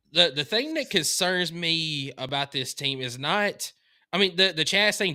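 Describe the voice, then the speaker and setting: A man with a Southern US accent, a bright, sharp tone, lively intonation, and a moderate pace, on a very clean recording with a silent background. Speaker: sports podcast co-host. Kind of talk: casual chat.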